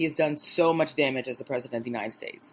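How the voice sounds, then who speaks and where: With a very deep, low pitch and ordinary pitch variation, a woman talks at a very fast pace. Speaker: political podcast host. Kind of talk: solo podcast commentary.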